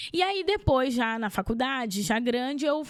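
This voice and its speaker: This woman talks at a moderate pace with a high-pitched voice. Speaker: therapist and speaker. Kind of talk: interview. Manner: clear, measured pace.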